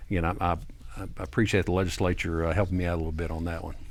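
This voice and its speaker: Amid audible room echo, a man talks very fast in a very deep, low pitch with monotone, flat intonation. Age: 60s. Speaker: tax attorney. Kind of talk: TV interview. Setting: studio.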